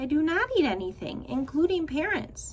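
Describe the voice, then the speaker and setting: A woman's high-pitched, put-on character voice over clear background noise. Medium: read story. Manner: formal, no contractions.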